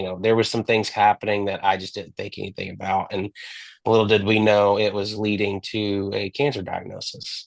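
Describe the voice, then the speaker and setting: Against a quiet background, a man with a Texan accent talks at a moderate pace in a fairly low pitch with monotone, flat intonation. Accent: Texan American. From Texas. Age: 20s. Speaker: cancer survivor. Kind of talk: interview testimony. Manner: halting.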